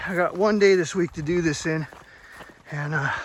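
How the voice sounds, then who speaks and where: Noticeable background noise sits behind a man who speaks in a relaxed tone at a moderate pace with ordinary pitch variation. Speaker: hiking vlogger. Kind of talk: casual vlog narration. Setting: outdoors on a mountain trail. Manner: relaxed, hesitant with fillers.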